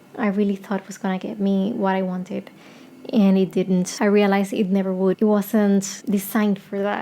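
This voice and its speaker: Using monotone, flat intonation, a woman with a Spanish accent speaks at medium pitch and a fairly quick pace. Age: 30s. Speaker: singer-songwriter. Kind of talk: casual vlog chat. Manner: rambling, hesitant.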